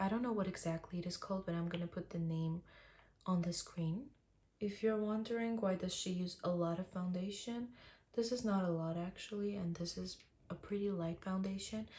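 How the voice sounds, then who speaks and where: Somewhat breathy, a woman speaks at a medium pitch in a dark, mellow tone. Her pace is fairly quick and her intonation fairly even. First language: Armenian. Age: 20s. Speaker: beauty vlogger. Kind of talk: tutorial. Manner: casual, chatty.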